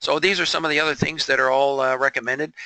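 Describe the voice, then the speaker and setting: A man with a fairly high pitch and a bright, sharp tone speaks with vocal fry, the sound dry and close with no echo. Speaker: real estate broker and trainer. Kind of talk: webinar tutorial. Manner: fast; halting, many fillers.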